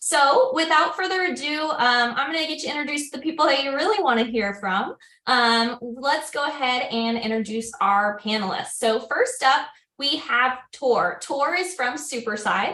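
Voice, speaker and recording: With lively intonation and a high pitch, a woman speaks in a raised, projected voice at a moderate pace. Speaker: webinar host, customer success executive. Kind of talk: webinar moderation. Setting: online webinar.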